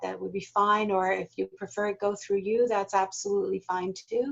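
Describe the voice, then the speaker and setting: This woman talks at a fairly quick pace with an American accent. Her medium-pitched voice has monotone, flat intonation. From United States. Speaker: corporate learning specialist, leadership trainer. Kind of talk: online workshop Q&A.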